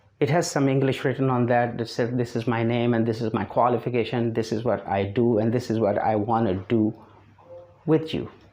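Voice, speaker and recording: With a non-native accent, a man speaks in a dark, mellow tone with fairly even intonation. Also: medium pitch for a man, fairly quick pace. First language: not English. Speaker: English teacher. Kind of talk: online lesson to camera. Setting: speaking to camera.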